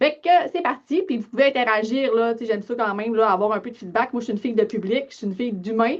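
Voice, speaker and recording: A woman at a very fast pace, with a fairly high pitch and a Lac-Saint-Jean accent. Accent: Lac-Saint-Jean Quebec French. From Quebec, Lac-Saint-Jean. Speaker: financial advisor, business owner. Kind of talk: webinar presentation. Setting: online webinar. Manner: casual, many filler words.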